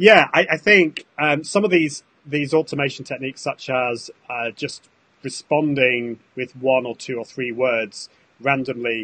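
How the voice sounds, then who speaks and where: A man with a British accent and a bright, sharp tone speaks at a fairly slow pace and medium pitch, with ordinary pitch variation, big swings in loudness and a dry, close sound with no echo. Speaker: social media consultant. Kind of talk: casual chat.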